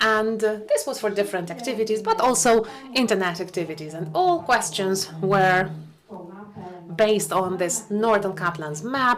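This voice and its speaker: A woman speaks at a moderate pace with a medium pitch and ordinary pitch variation. Noticeable background noise and audible room echo are present. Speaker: academic researcher presenting at a conference. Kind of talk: conference presentation. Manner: halting.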